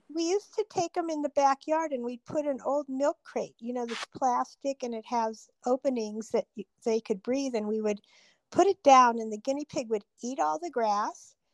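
Against a dry, close sound with no echo, a woman with a high pitch speaks at a moderate pace with lively intonation. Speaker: younger sister telling childhood stories. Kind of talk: elder telling life stories, casual reminiscing. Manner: vivid, descriptive, laughing.

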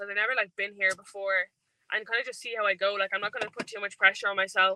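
Delivered at a very fast pace in an Irish accent, the voice has a bright, sharp tone and a dry, close sound with no echo. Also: woman. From Ireland. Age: 20s. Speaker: athlete. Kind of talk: interview. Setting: in a car.

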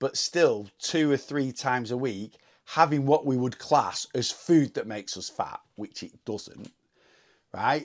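A normal speaking voice from a man, fairly high in pitch, with lively intonation at a fairly slow pace, on a very clean recording with a silent background. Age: 40s. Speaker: weight loss podcaster. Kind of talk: solo monologue. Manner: casual, unscripted.

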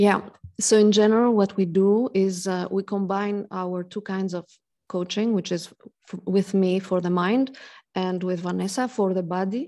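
A woman speaks at a medium pitch with a dark, mellow tone. Her intonation is fairly even against a quiet background. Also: moderate pace. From Greece. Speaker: life coach. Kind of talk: interview.

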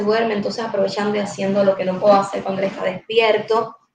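The speech moves at a fairly quick pace, and there is audible room echo. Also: woman. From Cuba, Guantánamo province. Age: 20s. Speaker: entrepreneur. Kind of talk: casual chat.

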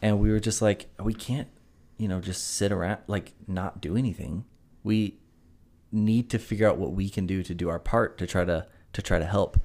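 A man with an American accent has an ordinary speaking voice, fairly low in pitch with fairly even intonation. He talks at a moderate pace in a very clean recording with a silent background. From South Carolina (Greenville). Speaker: podcast co-host, golfer. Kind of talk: casual chat. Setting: hotel room.

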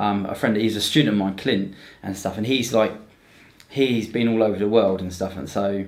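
In a southern English accent, a man with a fairly low pitch speaks at a moderate pace with fairly even intonation and audible room echo. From southern England, Romsey near Southampton. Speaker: Brazilian jiu-jitsu competitor and instructor. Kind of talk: casual chat. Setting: studio with cameras.

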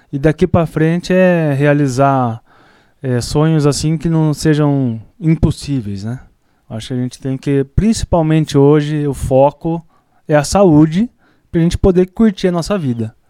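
A man speaks fairly slowly in a fairly high, dark, mellow voice with ordinary pitch variation. The sound is dry and close, with no echo. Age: 40s. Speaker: veterinarian and barbecue champion. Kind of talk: casual interview chat.

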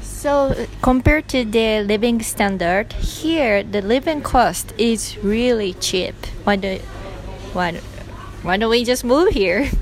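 Music plays in the background as a woman speaks very slowly. Her pitch is fairly high and varies in an ordinary way. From Japan. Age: 20s. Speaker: former high school English teacher, travel segment co-host. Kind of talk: casual travel report.

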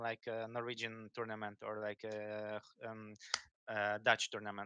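Dry and close with no echo, a man's medium-pitched voice moves at a moderate pace. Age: 20s. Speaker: professional esports player. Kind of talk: casual chat. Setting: video call.

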